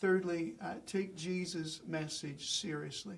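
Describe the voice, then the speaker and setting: A man with a high pitch talks at a fairly slow pace, and the room echo is audible. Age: 60s. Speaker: pastor. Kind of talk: lecture.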